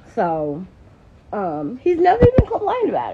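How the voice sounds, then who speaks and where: Light background noise underlies speech at a moderate pace. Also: woman. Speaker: live streamer. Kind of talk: casual vlog chat. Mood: animated, gossipy. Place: garage. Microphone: phone near.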